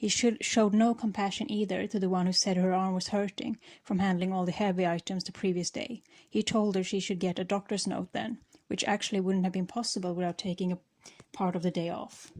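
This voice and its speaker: A woman with a non-native accent, medium pitch and fairly even intonation at a fairly quick pace, on a very clean recording with a silent background. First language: not English. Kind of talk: storytime talk while gaming.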